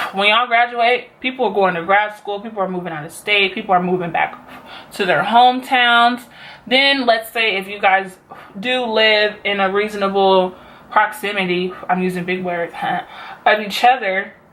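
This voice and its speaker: A woman's normal speaking voice at a medium pitch and a moderate pace, with ordinary pitch variation. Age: 20s. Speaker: beauty vlogger and college student. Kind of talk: casual talk to camera.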